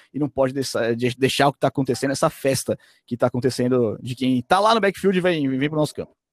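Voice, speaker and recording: A man with a plain, everyday voice, fairly quick, with ordinary pitch variation and a dry, close sound with no echo. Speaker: sports commentator. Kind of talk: casual chat.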